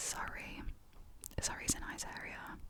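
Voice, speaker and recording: Whispering very slowly, a woman can be heard over noticeable background noise. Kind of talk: casual chatty ASMR ramble. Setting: studio, close mic. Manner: whispered, soft.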